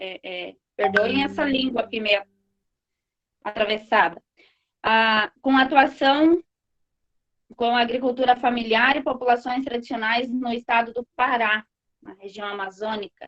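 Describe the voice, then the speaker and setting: A woman with a high voice speaks at a fairly slow pace in a dry, close recording with no echo. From rural Brazil. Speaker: moderator of online course panel. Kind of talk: online panel moderation.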